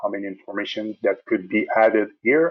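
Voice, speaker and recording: A man speaks with a French Canadian accent at a moderate pace. The background is quiet. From Quebec. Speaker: software support specialist; software trainer. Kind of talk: tutorial. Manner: hesitant, many fillers.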